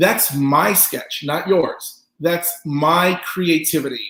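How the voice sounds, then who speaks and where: Here is a man with a high pitch. His tone is animated. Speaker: pop artist teaching a business workshop. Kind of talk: online lecture presentation. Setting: online webinar.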